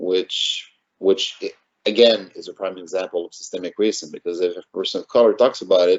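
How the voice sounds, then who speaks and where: The speaker has a Quebec accent. The pace is moderate. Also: man. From Montreal North, Quebec. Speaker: city council candidate. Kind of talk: interview.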